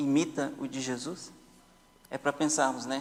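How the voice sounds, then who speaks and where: You can hear echo from the room. The speaker is a man. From Brazil. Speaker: Sabbath school teacher. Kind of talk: Bible study discussion. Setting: church.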